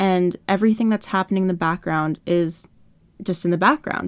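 Recorded dry and close with no echo against a silent background, a woman with a Canadian accent uses an ordinary speaking voice, fairly low in pitch, with fairly even intonation at a moderate pace. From Canada. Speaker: lifestyle blogger and podcaster. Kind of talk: casual solo podcast monologue.

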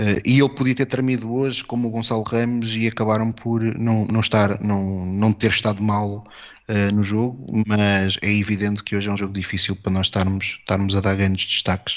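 A man speaks with a European Portuguese accent. His fairly low voice stays monotone and flat. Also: moderate pace. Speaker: football podcast guest. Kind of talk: casual football analysis chat.

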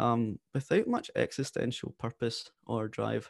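Here is a man with a west coast Scottish accent at a medium pitch. The background is quiet. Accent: Scottish, west coast, fairly noticeable. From west coast of Scotland. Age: 20s. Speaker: podcaster and former apprentice consultant. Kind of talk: interview, telling life story. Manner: articulate, warm, animated.

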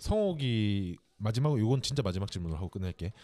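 Very fast and with lively intonation, a man speaks in a dark, mellow tone on a very clean recording with a silent background. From Korea, Gyeongsang. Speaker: podcast co-host. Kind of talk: casual interview chat. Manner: many filler words.

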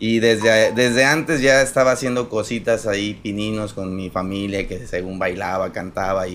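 A normal speaking voice with ordinary pitch variation runs on with hardly any pauses. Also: man, fairly low pitch for a man, moderate pace. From Mexico, Apatzingán, Michoacán. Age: 30s. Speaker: actor and comedian. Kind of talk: casual chat.

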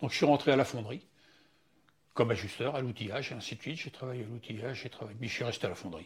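A man speaks at a very fast pace in a medium pitch, somewhat breathy, with ordinary pitch variation, big swings in loudness and long, frequent pauses. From western France, Loire-Atlantique (Châteaubriant). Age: 70s. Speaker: retired foundry worker, grandfather. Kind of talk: life-story interview. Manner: halting.

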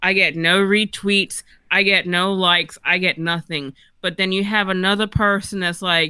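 Using a normal speaking voice, a woman of medium pitch talks at a moderate pace with fairly even intonation. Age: 40s. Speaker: author. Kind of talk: casual chat.

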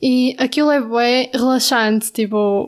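A woman with a European Portuguese accent speaks at a high pitch with fairly even intonation. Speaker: podcast co-host, university student. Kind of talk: casual chat. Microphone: new microphone.

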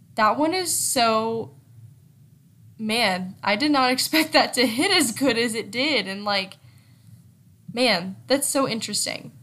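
Her bright, sharp, fairly high voice moves with lively intonation as the woman speaks at a fairly slow pace with long, frequent pauses. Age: 20s. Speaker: solo podcast host. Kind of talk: casual solo chat. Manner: conversational with filler words.

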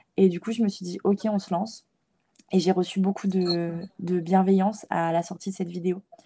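Somewhat breathy and dark, mellow in tone, a woman's medium-pitched voice stays monotone and flat. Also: moderate pace. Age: 20s. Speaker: feminist content creator and student. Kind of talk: interview. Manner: halting.

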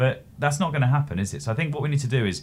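A man speaks with vocal fry, his pitch moving up and down very widely. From England. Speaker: startup founder and CEO. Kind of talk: interview.

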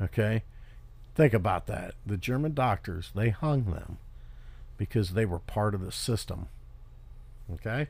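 Somewhat breathy and fairly low-pitched, a man speaks at a fairly slow pace with lively intonation and long, frequent pauses. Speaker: podcast host. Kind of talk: solo commentary monologue. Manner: halting, many fillers.

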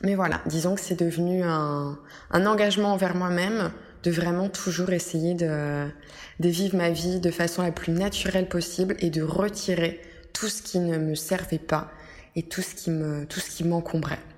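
Delivery is rather slow. The voice stays flat and monotone throughout. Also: woman, fairly low pitch for a woman. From France. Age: 20s. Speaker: wellness podcaster. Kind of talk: solo podcast monologue. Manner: hesitant, many fillers.

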